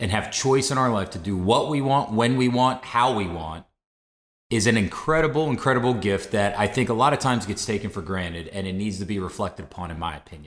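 An ordinary speaking voice with an American accent. The intonation is lively. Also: man. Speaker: podcast host. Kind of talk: casual podcast conversation.

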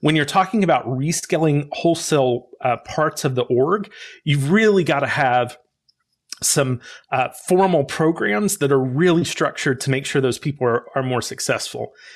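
A man with an American accent speaks in a plain, everyday voice at a fairly high pitch and a moderate pace, with ordinary pitch variation. His loudness is very even, and the recording is very clean with a silent background. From US South, rural Arkansas. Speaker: corporate learning and talent development expert. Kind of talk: interview.

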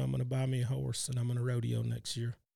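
Speaking fairly quickly with a Texan accent, a man has a dark, mellow tone and fairly even intonation on a very clean recording with a silent background. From Texas, Cypress. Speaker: retired rodeo calf roper and company employee. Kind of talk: interview.

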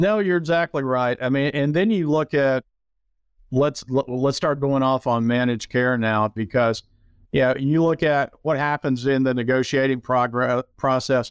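On a very clean recording with a silent background, a man at a medium pitch talks at a fairly slow pace, his loudness very even and the sound dry and close with no echo. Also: ordinary pitch variation. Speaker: podcast host. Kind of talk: casual interview. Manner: hesitant, many filler words.

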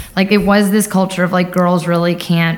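Speaking with an American accent, a woman moves at a fairly quick pace with fairly even intonation. Room echo is audible. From US Northeast, Long Island, New York. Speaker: cybersecurity professional, Air Force veteran. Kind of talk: interview. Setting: live at a conference.

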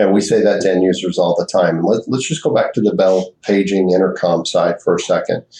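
A man speaks at a fairly quick pace with hardly any pauses. His loudness stays very even. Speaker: sales executive. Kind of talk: casual chat.

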